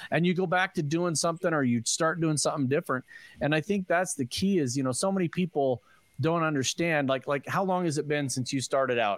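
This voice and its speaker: On a very clean recording with a silent background and a dry, close sound with no echo, a man with a normal speaking voice talks fairly quickly at a fairly high pitch, with ordinary pitch variation and very even loudness. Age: 50s. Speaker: podcast co-host. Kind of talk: casual chat.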